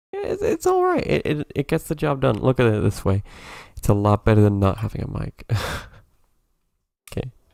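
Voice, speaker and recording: A soft-spoken man at a fairly quick pace, with long, frequent pauses and a dry, close sound with no echo. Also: very clean recording, silent background. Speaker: video game streamer. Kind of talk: casual live stream commentary.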